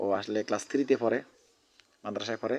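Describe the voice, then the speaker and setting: A man speaks at a medium pitch. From Bangladesh, Cumilla (Chauddagram). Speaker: vlogger. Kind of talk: vlog. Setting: outdoors.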